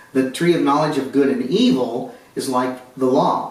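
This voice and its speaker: Audible room echo and noticeable background noise surround a man whose voice sits at a medium pitch. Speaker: Bible teacher. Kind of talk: Bible study lecture.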